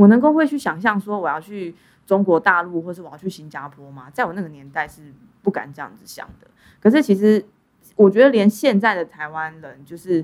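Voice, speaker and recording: A woman's medium-pitched voice moves at a fairly quick pace, with very wide pitch swings and big swings in loudness. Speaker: podcast host. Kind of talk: casual interview. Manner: frequent laughter.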